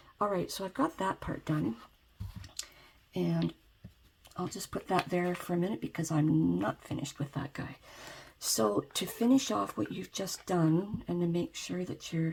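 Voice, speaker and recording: Soft-spoken and somewhat breathy, a woman with a fairly low pitch talks at a moderate pace, her voice making very wide pitch swings between long, frequent pauses. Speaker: ASMR creator. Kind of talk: DIY tutorial narration, soft-spoken ASMR talk to camera. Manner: soft, quiet.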